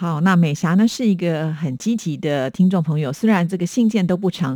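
A Taiwanese accent on a very clean recording with a silent background. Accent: Taiwanese Mandarin. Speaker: radio host. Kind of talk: radio show replying to listener letters. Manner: many filler particles, chatty.

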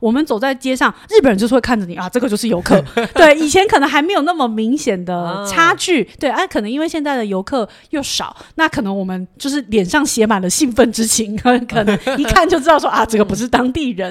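Speaking at a fairly quick pace with hardly any pauses, a woman uses a high pitch that makes very wide swings. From Taiwan. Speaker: travel guest. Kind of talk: casual chat.

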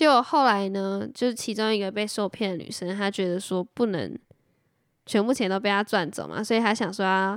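On a very clean recording with a silent background, a woman with a Taiwanese accent speaks at a moderate pace and medium pitch, with ordinary pitch variation. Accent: Taiwanese Mandarin. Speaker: podcast co-host. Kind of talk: casual chat.

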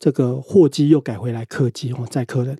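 A man speaks at a medium pitch and a moderate pace, his tone dark and mellow and somewhat breathy. The sound is dry and close with no echo, and his pitch varies in an ordinary way. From Taiwan, Pingtung. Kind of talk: interview.

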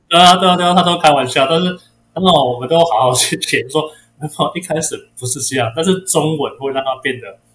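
A man speaks at a fairly quick pace. His pitch is fairly high, with ordinary pitch variation. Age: 40s. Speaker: guppy breeder. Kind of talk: interview. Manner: halting, frequent repeated words.

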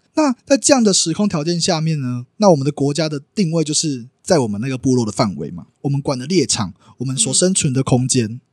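A plain, everyday voice with lively intonation, in a dry, close sound with no echo. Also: man. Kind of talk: casual interview chat.

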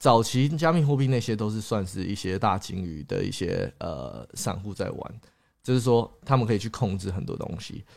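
On a very clean recording with a silent background, a man with an ordinary speaking voice talks at a moderate pace, his fairly low pitch carrying lively intonation. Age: 20s. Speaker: YouTuber and crypto investor. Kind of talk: livestream chat. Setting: livestream. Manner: code-switching with English.

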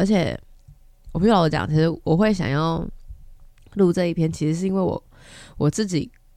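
Speaking at a fairly quick pace with long, frequent pauses, a woman has a fairly low, dark, mellow voice with ordinary pitch variation. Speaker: podcast host. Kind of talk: casual monologue.

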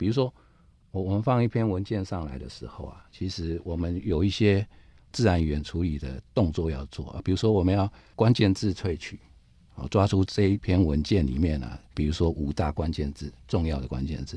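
A man with a very deep, low pitch and a dark, mellow tone sounds somewhat breathy, speaking at a moderate pace with lively intonation and big swings in loudness against a quiet background. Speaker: IT company division director. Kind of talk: interview.

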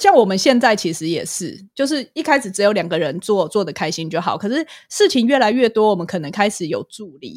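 Her pitch swings very widely and her loudness rises and falls by large amounts. The woman talks at a fairly quick pace with hardly any pauses. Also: medium pitch for a woman. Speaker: clinical psychologist and podcaster. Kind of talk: casual interview chat.

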